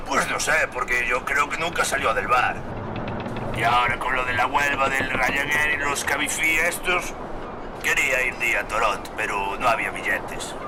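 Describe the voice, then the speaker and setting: A put-on character voice from a man, fairly high-pitched and rumbling, at a moderate pace over loud background noise. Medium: puppet show. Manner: grumbling, crude.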